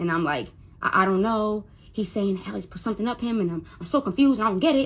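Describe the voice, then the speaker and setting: This woman speaks fairly quickly in a raised, projected voice, her bright, sharp tone making very wide pitch swings. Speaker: Instagram live streamer telling a personal story. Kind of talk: personal storytelling on a livestream. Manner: stutters when upset; emotional, repetitive.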